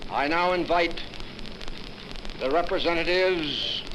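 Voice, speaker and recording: Over noticeable background noise, a man with a high voice speaks in a solemn tone at a fairly slow pace, his intonation fairly even. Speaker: army general. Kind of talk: formal ceremonial speech.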